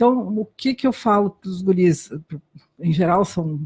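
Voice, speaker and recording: A woman with a German accent speaks at a fairly low pitch and a fairly slow pace, her tone dark and mellow. Her voice is somewhat breathy, the sound dry and close with no echo. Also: very clean recording, silent background. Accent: German-accented Brazilian Portuguese. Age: 60s. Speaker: doctor. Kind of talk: interview testimony. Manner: halting.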